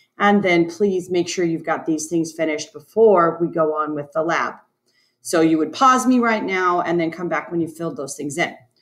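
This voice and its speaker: This woman has a normal speaking voice, fairly low in pitch. Her pitch varies in an ordinary way at a moderate pace. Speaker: science teacher. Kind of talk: tutorial.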